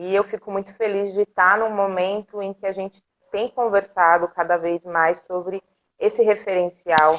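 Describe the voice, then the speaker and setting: Her delivery keeps a moderate pace and fairly even intonation. This woman has an ordinary speaking voice. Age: 30s. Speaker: art educator and cultural group director. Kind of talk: casual interview on a live stream. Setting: live video stream.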